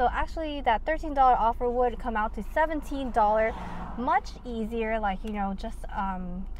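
Moderate pace, dry sound with no echo, and loud background noise. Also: woman. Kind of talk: casual vlog chat. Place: car. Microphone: phone near.

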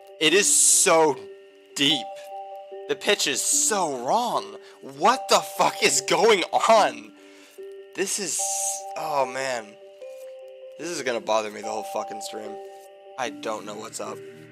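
The speaker goes at a very slow pace, with long, frequent pauses and big swings in loudness. Pitch swings very widely, and music plays in the background. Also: man. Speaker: game streamer. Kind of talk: casual gameplay commentary.

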